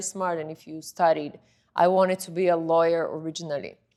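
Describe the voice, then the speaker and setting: A woman speaks with a Bulgarian accent, her pitch fairly low. The recording is very clean, with a silent background. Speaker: model and influencer. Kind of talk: interview.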